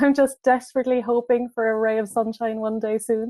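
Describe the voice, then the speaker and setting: A woman's fairly high voice in a strong Irish accent, with fairly even intonation. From Ireland. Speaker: clothing brand founder. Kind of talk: casual interview.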